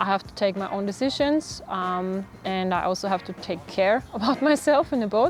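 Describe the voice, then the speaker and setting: The speaker's pace is fairly slow, and the pitch varies in an ordinary way. Music can be heard behind the voice. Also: woman. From Austria. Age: 20s. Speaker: professional sailor. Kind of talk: interview talk about her sport. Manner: halting, many fillers.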